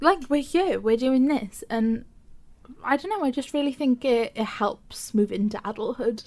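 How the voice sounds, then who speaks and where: A woman talks at a fairly slow pace with a high pitch. Her pitch variation is ordinary. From Wales. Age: 21. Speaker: podcast co-host. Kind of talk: casual chat.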